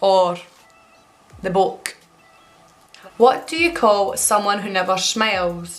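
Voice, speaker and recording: In a Scottish accent, a woman talks at a very slow pace and medium pitch, with ordinary pitch variation and long, frequent pauses. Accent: Scottish (Alloa). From Alloa, Scotland. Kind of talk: casual talk to camera.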